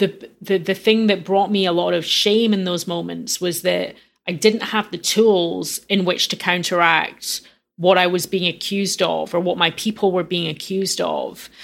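A woman speaks at a moderate pace in a medium pitch, her intonation monotone and flat. The recording is very clean, with a silent background. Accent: Glasgow. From Scotland, Glasgow. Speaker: music journalist and activist. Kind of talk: interview.

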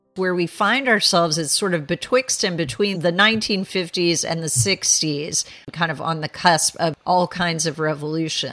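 Fairly slow and with hardly any pauses, a woman talks in an ordinary speaking voice, fairly low in pitch and with ordinary pitch variation. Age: 50s. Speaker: historian and author. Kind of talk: interview.

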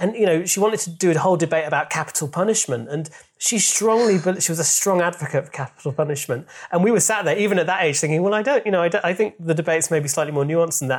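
With a Yorkshire accent, a man speaks very fast at a high pitch, using ordinary pitch variation. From Yorkshire, England (Leeds). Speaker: comedian and writer. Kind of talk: casual chat. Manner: halting.

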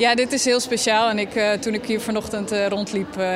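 A woman speaks at a medium pitch and a moderate pace with fairly even intonation. Background noise is noticeable. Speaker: festival organizer. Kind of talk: casual interview. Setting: outdoors.

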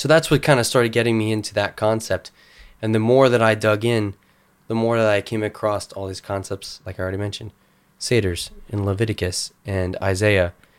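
A man with an unremarkable speaking voice, fairly low in pitch, fairly even in intonation, at a fairly quick pace. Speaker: guest researcher on cryptids. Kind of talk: explanatory discussion of biblical scholarship. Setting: studio.

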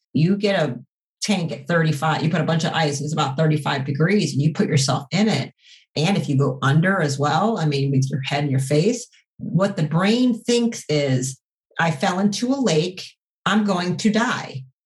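At a moderate pace, a woman with a very deep, low pitch speaks in a somewhat breathy voice with lively intonation. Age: 40s. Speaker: doctor running a natural therapies practice. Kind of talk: interview.

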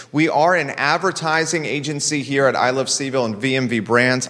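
A man's voice over noticeable background noise. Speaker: talk show host. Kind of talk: interview conversation. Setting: studio, live broadcast.

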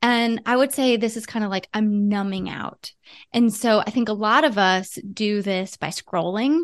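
Against a quiet background, a woman with an American accent speaks in a plain, everyday voice, fairly high in pitch, at a moderate pace with ordinary pitch variation. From US Midwest, Ohio. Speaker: psychologist, relationship expert. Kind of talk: interview.

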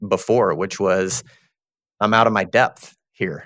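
On a very clean recording with a silent background, a man talks at a fairly low pitch in a Texan accent. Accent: Texan Southern US. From Texas. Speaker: recruitment firm partner. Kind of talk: interview.

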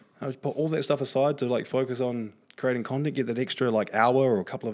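A man with a New Zealand accent, very fast in pace, with ordinary pitch variation. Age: 30s. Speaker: content creator and marketer. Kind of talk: podcast interview. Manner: expressive, frequent swearing.

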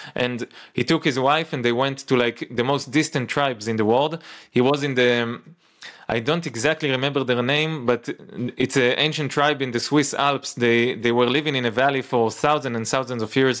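This man has an unremarkable speaking voice, medium in pitch, with fairly even intonation at a moderate pace in a very clean recording with a silent background. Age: 30s. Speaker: nutritionist. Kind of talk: casual chat.

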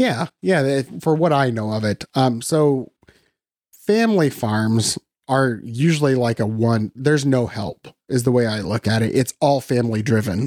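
A man with a US Midwestern accent speaks at a fairly slow pace in a medium pitch with ordinary pitch variation, the sound dry and close with no echo. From Western Iowa, US Midwest. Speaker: photographer and educator. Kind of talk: interview.

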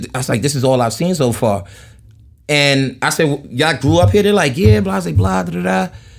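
A man talks at a fairly quick pace with a New York accent. His pitch swings very widely. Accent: New York (Queens). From Jamaica, Queens, New York City. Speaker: podcast guest, solo traveler. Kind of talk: casual chat. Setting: in person at host's place in Long Island.

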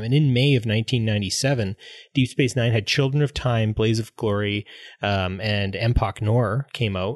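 A man with a western Canadian accent speaks at a moderate pace and a medium pitch, with ordinary pitch variation, over a quiet background in a dry, close sound with no echo. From Grand Prairie, Alberta, Canada. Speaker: English teacher and podcast co-host. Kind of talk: casual chat.

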